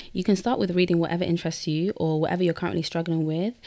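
On a very clean recording with a silent background, a woman speaks at a fairly low pitch in a dark, mellow tone. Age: 20s. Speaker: podcast host. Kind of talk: solo podcast monologue. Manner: energetic.

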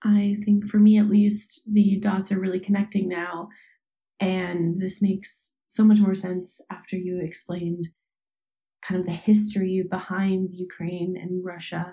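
This woman's voice is somewhat breathy, dark and mellow, at a medium pitch with monotone, flat intonation. She speaks at a fairly slow pace, and her loudness swings a lot. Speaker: interviewer. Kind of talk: interview questions.

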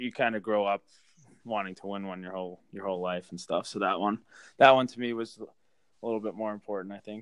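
This normal speaking voice moves at a fairly quick pace with fairly even intonation and big swings in loudness. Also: man, fairly low pitch for a man. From Massachusetts, Boston area. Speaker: professional hockey player. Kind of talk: casual interview.

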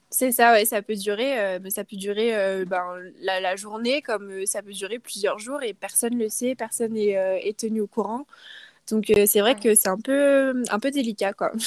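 In a dry, close sound with no echo, a woman uses a plain, everyday voice, fairly high in pitch, at a fairly slow pace with fairly even intonation. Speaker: student living abroad. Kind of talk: casual interview.

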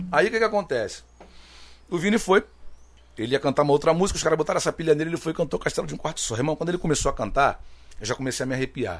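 Vocal fry runs through a man's fairly high voice as he talks at a very fast pace with lively intonation. Long, frequent pauses break up his speech. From Rio de Janeiro (Rocinha favela). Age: 40s. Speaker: samba singer. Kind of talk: casual interview chat.

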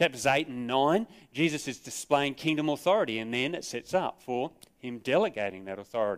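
An Australian-accented man speaks at a fairly quick pace and medium pitch, his intonation lively, on a very clean recording with a silent background. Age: 50s. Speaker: pastor. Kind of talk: sermon. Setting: church.

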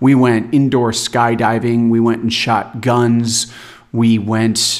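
Speaking at a very slow pace, a man delivers his words. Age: 40s. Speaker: health and wellness coach. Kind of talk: solo podcast monologue. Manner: unscripted, off-the-cuff.

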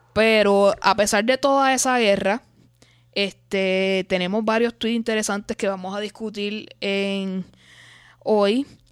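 In a dry, close sound with no echo and a very clean recording with a silent background, a woman speaks very slowly at medium pitch with fairly even intonation. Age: late 20s. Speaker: podcast host. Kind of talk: casual chat.

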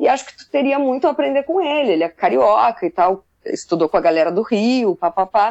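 The speaker's pitch swings very widely at a moderate pace. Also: woman. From Southern Brazil, Pelotas, Rio Grande do Sul. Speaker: musician, drummer. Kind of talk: casual interview chat.

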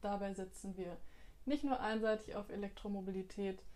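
At a moderate pace, a woman uses a normal speaking voice with a medium pitch and fairly even intonation. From Bielefeld, Germany. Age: 20s. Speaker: parliamentary candidate. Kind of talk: interview answers on party platform. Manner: formal.

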